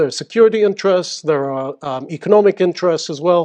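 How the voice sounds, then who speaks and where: This man's voice is high-pitched, with a slight British accent. He talks at a fairly quick pace. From UAE, schooled in the UK. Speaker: seminar speaker, Emirati official. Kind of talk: public talk. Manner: halting, many fillers.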